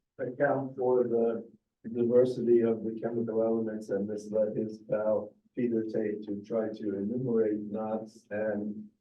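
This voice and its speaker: Amid audible room echo, a man speaks with monotone, flat intonation. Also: medium pitch for a man. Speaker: chemistry professor. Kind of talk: lecture. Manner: halting, many fillers.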